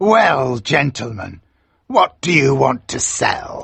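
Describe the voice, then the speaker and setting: A man growls through a put-on character voice at a medium pitch, his pitch swinging very widely. He speaks at a very slow pace. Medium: read story.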